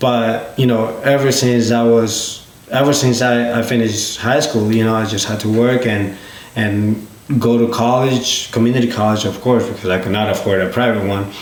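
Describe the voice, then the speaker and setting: With a Spanish accent, a man speaks at a moderate pace in a monotone, flat, medium-pitched voice, with audible room echo and noticeable background noise. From Peru. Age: 20s. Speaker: business owner. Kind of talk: podcast interview.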